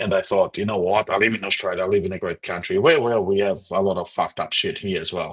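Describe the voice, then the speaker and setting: A man at a fairly low pitch and a very fast pace, in a dry, close sound with no echo. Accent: Portuguese. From Portugal. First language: Portuguese. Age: 40s. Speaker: political commentator livestreamer. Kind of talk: livestream commentary reading chat comments. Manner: halting, repeats words.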